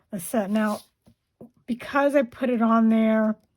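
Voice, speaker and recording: A woman's somewhat breathy, fairly high voice at a very slow pace. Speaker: paper craft demonstrator. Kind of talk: tutorial. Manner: casual, conversational.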